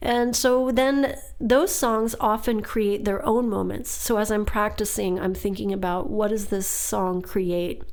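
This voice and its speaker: A woman's fairly high voice at a fairly slow pace, with ordinary pitch variation and audible room echo. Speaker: singer and podcast host. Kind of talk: casual podcast monologue.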